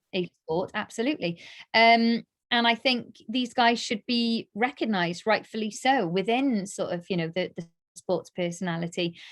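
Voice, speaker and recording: Recorded dry and close with no echo, a woman talks at a moderate pace in a fairly high pitch, with ordinary pitch variation and an animated tone. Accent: South Wales. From Wales, Cardiff. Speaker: darts presenter and radio DJ. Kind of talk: casual interview chat.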